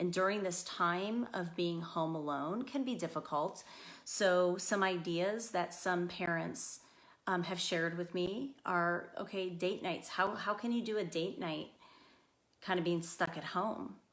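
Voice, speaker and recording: A woman with a fairly low pitch and ordinary pitch variation talks fairly slowly. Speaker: school psychologist. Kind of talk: parenting talk. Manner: loud.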